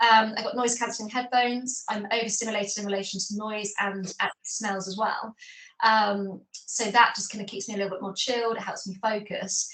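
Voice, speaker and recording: A woman talks at a fairly quick pace and a fairly high pitch with monotone, flat intonation. Her loudness swings widely, and there is noticeable background noise. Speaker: ADHD advocate, corporate professional. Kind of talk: interview. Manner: fast.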